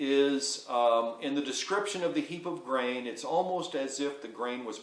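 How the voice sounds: The voice reads aloud naturally. It sounds like an unforced reading.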